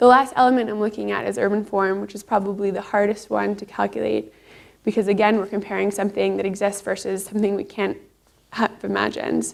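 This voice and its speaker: A woman speaks with a Canadian accent. Her pace is very fast. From Canada, Toronto. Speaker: PhD researcher. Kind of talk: conference talk.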